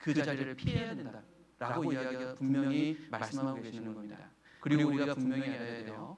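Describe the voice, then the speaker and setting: A man with a fairly high pitch speaks at a moderate pace with audible room echo. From Chungcheong, Korea. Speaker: pastor. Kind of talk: sermon.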